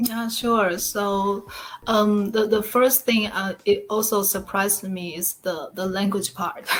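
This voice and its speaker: A woman talks with a Taiwanese accent. Her pace is very slow and her intonation fairly even. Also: medium pitch for a woman. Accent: Taiwanese Mandarin-accented English. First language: Mandarin Chinese. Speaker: online business partner. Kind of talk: interview. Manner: halting.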